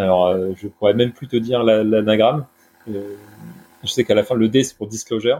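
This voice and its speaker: A man talks at a medium pitch with fairly even intonation in a plain, everyday voice. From Brittany, France. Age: 30s. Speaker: newsletter creator on sustainable finance. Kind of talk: casual interview.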